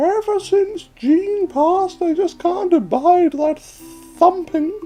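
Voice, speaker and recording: Squeaky and extremely high-pitched, a man's put-on character voice moves at a fairly slow pace. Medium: game stream. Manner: folksy, calls others dearie.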